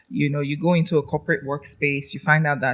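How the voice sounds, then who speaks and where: A woman speaks with a Nigerian accent. Her pitch is very deep and low, with ordinary variation. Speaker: trainer and educator. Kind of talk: podcast interview. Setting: studio.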